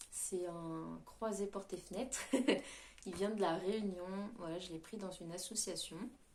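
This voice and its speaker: There is audible room echo around a woman at a medium pitch. She speaks at a fairly slow pace with fairly even intonation. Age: 20s. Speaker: YouTuber. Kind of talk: casual chat. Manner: hesitant, many fillers.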